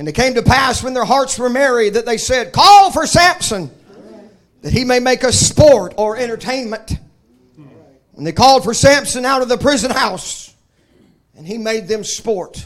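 A man with a Southern US accent, extremely high in pitch, animated and lively in intonation, at a moderate pace with long, frequent pauses. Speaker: preacher. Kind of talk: sermon. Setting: church. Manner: informal, humorous.

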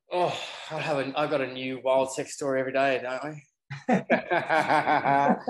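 The man's pitch is fairly high and his pace fairly slow. He keeps his intonation fairly even. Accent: Australian. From Australia. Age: 30s. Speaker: yacht deckhand and reality TV personality. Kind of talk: casual chat.

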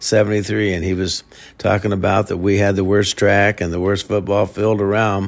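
In a Midwestern US accent, a man speaks at a fairly low pitch with monotone, flat intonation. The recording is very clean, the background silent. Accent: US Midwest. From Iowa. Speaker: high school football coach. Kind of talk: interview. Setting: at his home. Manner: halting, many repetitions and fillers.

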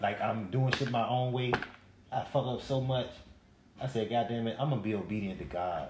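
Amid noticeable background noise and audible room echo, a man speaks at medium pitch and a fairly quick pace, with ordinary pitch variation and long, frequent pauses. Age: 40s. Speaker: podcast co-host. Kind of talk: casual chat. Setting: live stream.

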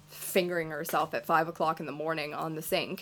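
Music plays behind a woman as she speaks. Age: 20s. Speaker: podcast co-host. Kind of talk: casual chat.

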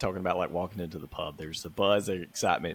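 A man is speaking. He has a Southern US accent. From US South, Mississippi. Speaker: football podcast co-host. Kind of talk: casual chat.

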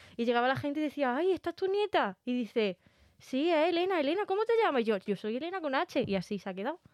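Speaking at a very fast pace, a woman with a high pitch makes very wide pitch swings in a dry, close sound with no echo. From Spain, Cabra (Córdoba), Andalusia. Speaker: podcast co-host. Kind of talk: casual chat.

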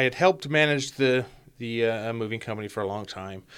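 At a moderate pace, a man with an American accent speaks with ordinary pitch variation in a plain, everyday voice. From Utah. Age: 30s. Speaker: former inmate in recovery, now program staff. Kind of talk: interview, personal testimony.

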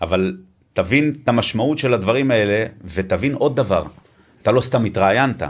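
Pausing often and at length, a man with a medium pitch speaks at a moderate pace with ordinary pitch variation. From Israel, Tel Aviv. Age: 50s. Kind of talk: interview.

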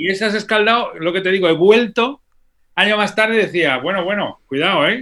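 Raised and projected, a man's high, bright, sharp voice moves at a moderate pace with ordinary pitch variation. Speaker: orchestral percussionist. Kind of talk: interview conversation. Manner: animated.

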